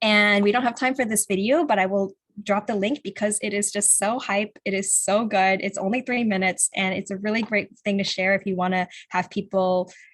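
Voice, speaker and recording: Heard in a very clean recording with a silent background, a woman with a normal speaking voice and an American accent talks at a moderate pace in a medium pitch with fairly even intonation. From California. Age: 20s. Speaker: climate activist organizer. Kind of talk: virtual presentation.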